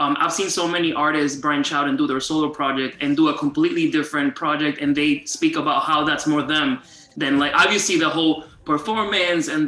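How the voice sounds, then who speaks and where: A man with a Spanish accent speaks at a fairly quick pace and fairly high pitch, with fairly even intonation. Noticeable background noise sits behind him. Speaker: interviewer. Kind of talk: casual interview.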